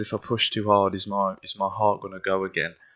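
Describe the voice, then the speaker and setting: A man's fairly low voice with a West Midlands accent, a bright, sharp tone and a moderate pace. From West Midlands, England. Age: 20s. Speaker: vlogger sharing health experience. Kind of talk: personal testimony monologue. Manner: hesitant, with fillers and repetitions.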